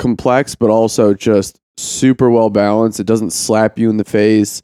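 In a monotone, flat intonation, a man with a fairly low pitch and a dark, mellow tone speaks with a dry, close sound and no echo. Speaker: podcast co-host. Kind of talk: casual chat. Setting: remote call.

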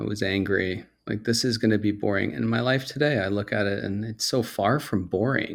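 On a very clean recording with a silent background, a man with vocal fry speaks at a fairly low pitch and a fairly quick pace, with hardly any pauses. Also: ordinary pitch variation. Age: 40s. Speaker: podcast host in recovery. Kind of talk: interview, casual chat.

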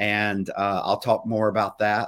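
The man has an unremarkable speaking voice with a fairly low pitch and a fairly slow pace. His recording is very clean over a silent background. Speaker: pastor and podcast host. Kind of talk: live weekly show with devotional teaching.

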